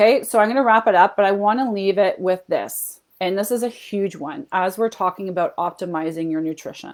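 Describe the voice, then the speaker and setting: A woman's medium-pitched voice in a Canadian accent, fairly quick with hardly any pauses and ordinary pitch variation. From Canada. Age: 40s. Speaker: health and fat loss coach. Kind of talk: live webinar training. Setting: Facebook livestream. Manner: animated.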